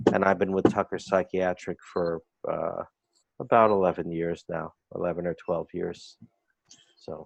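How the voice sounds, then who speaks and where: A man with a very deep, low pitch speaks at a moderate pace in a Bronx accent, his intonation monotone and flat. Long, frequent pauses break up his speech, and the sound is dry and close with no echo. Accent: New York, Bronx. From US Northeast, the Bronx. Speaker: clinical psychologist. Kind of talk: interview.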